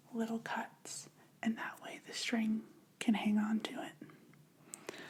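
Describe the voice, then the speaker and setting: Soft-spoken and fairly high in pitch, a woman talks against noticeable background noise. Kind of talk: ASMR craft video talk.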